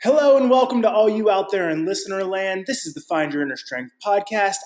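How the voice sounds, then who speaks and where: The tone is upbeat, with lively intonation and big swings in loudness. The pace is fairly quick. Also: man, high pitch for a man. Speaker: personal trainer and podcast host. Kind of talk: podcast intro.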